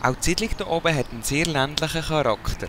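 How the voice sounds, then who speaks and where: A man with a Swiss accent, fairly quick pace and very wide pitch swings, over noticeable background noise. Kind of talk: documentary voice-over narration.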